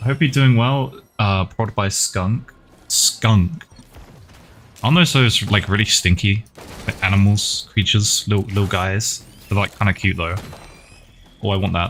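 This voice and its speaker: At a moderate pace and with long, frequent pauses, a man speaks in a fairly low voice with ordinary pitch variation. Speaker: game streamer. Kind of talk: casual live-stream chat while gaming. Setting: live stream with chat. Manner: soft-spoken, talking quietly for ASMR.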